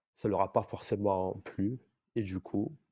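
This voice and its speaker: A man talks very slowly in a fairly low voice with a dark, mellow tone. The sound is dry and close, without echo. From Algeria. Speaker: apostate giving a testimony. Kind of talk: casual chat.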